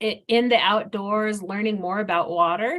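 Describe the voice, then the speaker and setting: With an ordinary speaking voice, a woman talks at a fairly slow pace and a fairly high pitch. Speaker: hydrologist. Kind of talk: webinar presentation.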